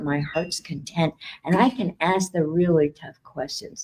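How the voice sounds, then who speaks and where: A somewhat breathy woman's voice, fairly low-pitched with a dark, mellow tone, at a moderate pace with ordinary pitch variation. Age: 60s. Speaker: psychic and spiritual speaker. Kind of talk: talk at expo. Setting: stage with audience and livestream.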